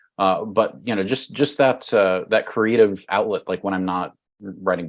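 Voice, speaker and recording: A man's fairly low voice with an American accent, at a moderate pace with ordinary pitch variation. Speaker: cybersecurity executive and author. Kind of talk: podcast interview. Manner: halting, many fillers and repetitions.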